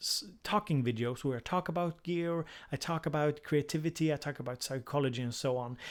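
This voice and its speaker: Heard in a very clean recording with a silent background, the speaker talks with a Swedish accent. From Sweden. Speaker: music production YouTuber and psychotherapist. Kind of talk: live stream casual chat. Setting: live stream. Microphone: new USB microphone, briefly muted at start.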